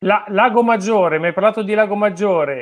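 A man is speaking. The intonation is fairly even. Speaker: fishing channel host. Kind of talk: interview. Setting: video call. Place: home room. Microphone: video call.

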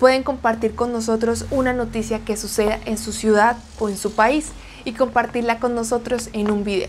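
A woman with a Colombian accent, fairly high pitch and monotone, flat intonation, over light background noise. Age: 20s. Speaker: Spanish teacher. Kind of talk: news reading; sales pitch. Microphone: lapel.

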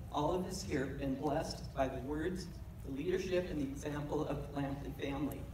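The speech moves at a fairly quick pace with ordinary pitch variation. Audible room echo and noticeable background noise are present. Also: woman. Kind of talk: read testimonial speech. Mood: warm, grateful, heartfelt. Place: church.

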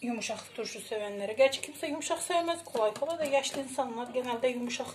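There is light background noise as a woman speaks at a fairly quick pace. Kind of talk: tutorial. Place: home room. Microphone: phone near.

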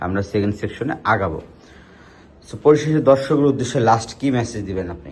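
The voice is somewhat breathy, with lively intonation. Its loudness swings widely. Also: man, medium pitch for a man. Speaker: hair transplant clinic doctor presenting patient cases. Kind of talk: casual patient video presentation.

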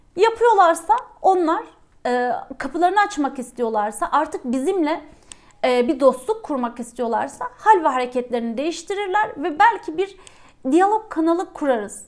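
Her pitch extremely high, a woman talks with very wide pitch swings. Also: moderate pace. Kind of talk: angry rant. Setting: video monologue to camera. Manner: indignant, bitter, pointedly repeating rhetorical questions; emphatic, forceful, firm and defiant.

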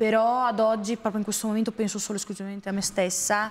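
A woman's voice in a flat monotone. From San Marino. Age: 20s. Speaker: model and influencer; influencer. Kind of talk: TV interview. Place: studio.

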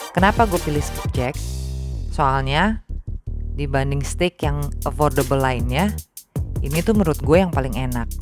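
Clear music plays in the background of a dry recording with no echo. The speech moves at a moderate pace with long, frequent pauses. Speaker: food vlogger. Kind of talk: casual vlog chat. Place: cafe. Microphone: phone near.

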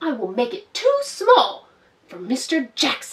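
A woman puts on a character voice, pitched high. She talks at a fairly slow pace. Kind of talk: children's storytime read-aloud. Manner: prim, scolding, cross.

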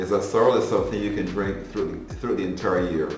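A fairly low male voice with ordinary pitch variation, light background noise and audible room echo. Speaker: presenter. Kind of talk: cooking tutorial. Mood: warm, nostalgic. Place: kitchen.

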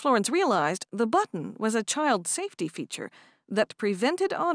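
Simple, plain reading aloud

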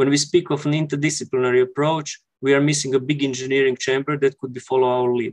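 Someone talks very fast with hardly any pauses in a flat, monotone delivery against a quiet background. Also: man, fairly high pitch for a man. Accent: Croatian. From Croatia. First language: Croatian. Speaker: architect; conference presenter. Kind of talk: conference presentation. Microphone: headset.

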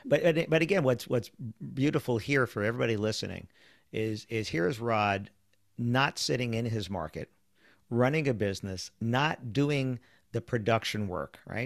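With an American accent, a man speaks in a normal speaking voice at medium pitch with ordinary pitch variation, a dry sound with no echo, and a quiet background. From US Northeast, New York City (Queens). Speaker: podcast host, wedding business sales trainer. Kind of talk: interview podcast chat. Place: office. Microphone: studio mic.

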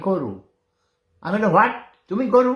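There is lively intonation in this man's speech. Room echo is audible. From Bangladesh. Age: 70s. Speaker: war veteran and online commentator. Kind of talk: casual live-stream monologue. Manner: animated.

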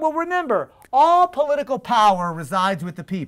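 Against a quiet background, a man with an extremely high pitch talks in an animated tone at a moderate pace, his pitch swinging very widely. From Texas. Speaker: attorney and political organizer; speaker. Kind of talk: public lecture. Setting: stage with live audience. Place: classroom.

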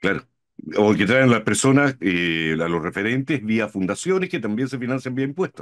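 Against a quiet background, a man talks at a moderate pace. His pitch swings very widely. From Chile. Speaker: podcast host, co-host. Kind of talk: political talk show discussion. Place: home room.

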